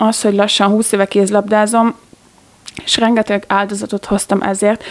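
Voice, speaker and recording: A woman speaks in a monotone, flat way at a moderate pace and medium pitch. Background noise is noticeable. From Hungary, Gödöllő. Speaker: handball player. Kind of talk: interview.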